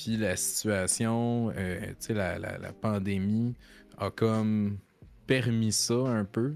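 A man with a Quebec accent speaks very slowly at a fairly low pitch with fairly even intonation and long, frequent pauses while music plays in the background. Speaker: streamer. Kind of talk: casual chat. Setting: live stream.

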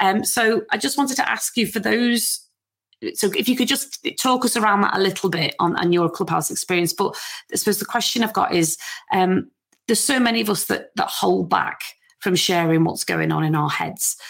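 A woman speaks at a medium pitch in a Liverpool accent, her intonation lively and her loudness very even. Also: moderate pace. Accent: Scouse (Liverpool). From Liverpool, England. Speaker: podcast host. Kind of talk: interview. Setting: home garden room studio.

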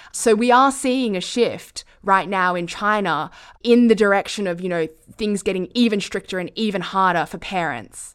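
Speaking with an Australian accent, a woman uses a medium pitch with ordinary pitch variation. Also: moderate pace, very clean recording, silent background. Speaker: foreign correspondent. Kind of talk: conversational interview.

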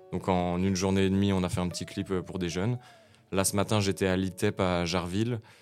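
Over music in the background, a man speaks at a very deep, low pitch with monotone, flat intonation. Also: fairly quick pace. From France, Nancy (Lorraine). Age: 20s. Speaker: rapper and battle improviser. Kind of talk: casual interview chat.

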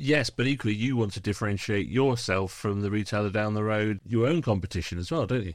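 A man with a British accent talks at a very fast clip with hardly any pauses. His pitch moves up and down in an ordinary way. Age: 50s. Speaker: podcast host. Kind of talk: casual chat.

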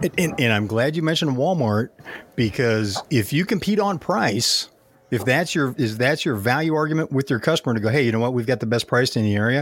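Using an ordinary speaking voice, a man talks at a fairly quick pace and medium pitch, with lively intonation and very even loudness. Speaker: podcast host and speaker. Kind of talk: casual chat.

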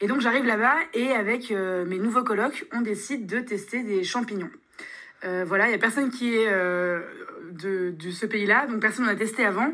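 A woman has a normal speaking voice, a fairly high pitch, ordinary pitch variation and a moderate pace. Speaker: student. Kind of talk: recorded testimony.

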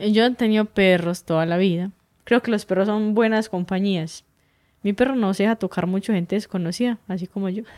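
In a very clean recording with a silent background and a dry, close sound with no echo, a woman uses a normal speaking voice at a fairly quick pace, with medium pitch and fairly even intonation. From Colombia, southeastern Antioquia (Urrao, Betulia). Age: 20s. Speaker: hiking guide. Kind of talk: casual interview conversation.

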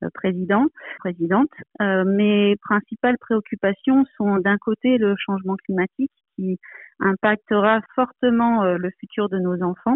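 A woman speaks at a fairly slow pace, with a medium pitch and ordinary pitch variation. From Provence, southern France. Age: 40s. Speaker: aeronautical engineer. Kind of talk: interview. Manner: hesitant, many fillers.

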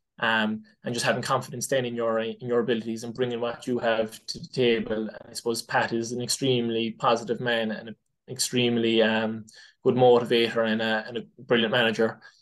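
This man speaks in a Cork accent at a fairly quick pace. His pitch is medium and his intonation is monotone and flat. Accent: Cork Irish. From Ireland, West Cork. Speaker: inter-county hurler. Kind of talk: casual interview. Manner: hesitant, many fillers.

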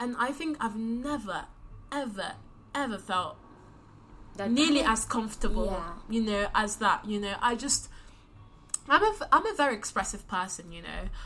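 Speaking with a London accent, a woman uses lively intonation and a fairly high pitch at a moderate pace, with long, frequent pauses. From London, UK (childhood partly in DR Congo). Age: 20s. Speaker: recent university graduate. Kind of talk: casual chat.

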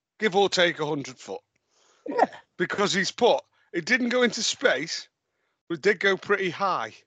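This man has a high pitch, a bright, sharp tone and a raised, projected voice with lively intonation. He talks at a fairly slow pace with long, frequent pauses, in a dry, close sound with no echo. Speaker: football podcast host. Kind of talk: casual banter chat.

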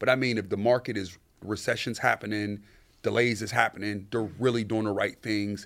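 A man with an American accent and an unremarkable speaking voice talks at a fairly quick pace, fairly low in pitch with fairly even intonation, on a very clean recording with a silent background. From US, urban projects neighborhood. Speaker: sneaker store owner. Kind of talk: casual interview.

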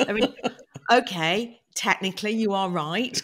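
At a fairly slow pace, a woman with a British accent speaks with ordinary pitch variation. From UK. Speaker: podcast host. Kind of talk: casual chat.

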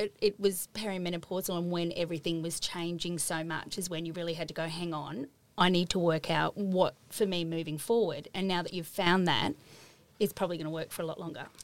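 Speaking at a fairly quick pace in an Australian accent, a woman uses a fairly low pitch and fairly even intonation. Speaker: podcast host. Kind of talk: casual interview; reading intro. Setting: studio.

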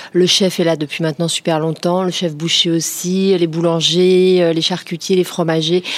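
Against noticeable background noise, a woman speaks at a moderate pace. Her fairly low voice has monotone, flat intonation. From Paris region, France (Créteil). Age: 40s. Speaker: entrepreneur. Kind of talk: interview.

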